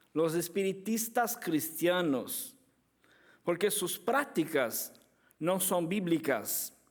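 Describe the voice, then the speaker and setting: Slowly, at a very slow pace, a man with a Brazilian accent speaks at a high pitch with lively intonation. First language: Portuguese (speaking Spanish). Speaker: apologetics speaker. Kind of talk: conference lecture. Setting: conference with audience. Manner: halting.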